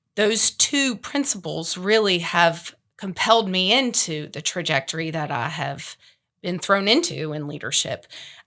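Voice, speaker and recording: At a fairly slow pace, a woman with a medium-pitched voice speaks with lively intonation. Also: very clean recording, silent background. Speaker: real estate professional, past association president. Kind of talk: panel discussion. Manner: loud.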